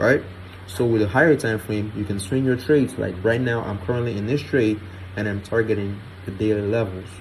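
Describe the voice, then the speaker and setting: Somewhat breathy, fairly quick speech with ordinary pitch variation. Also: man, fairly low pitch for a man. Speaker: trading educator. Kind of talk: tutorial. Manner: casual.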